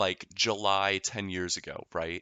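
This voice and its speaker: A man with an ordinary speaking voice talks at a fairly low pitch and a fairly slow pace. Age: 20s. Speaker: opera singer. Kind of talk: casual chat.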